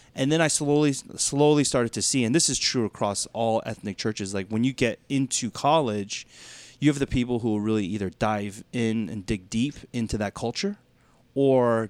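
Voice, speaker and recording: Recorded dry and close with no echo, a man talks in a plain, everyday voice at medium pitch, fairly quick, with ordinary pitch variation. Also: very clean recording, silent background. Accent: American. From US South, Georgia (Duluth, Atlanta suburbs). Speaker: pastor. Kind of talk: casual podcast conversation.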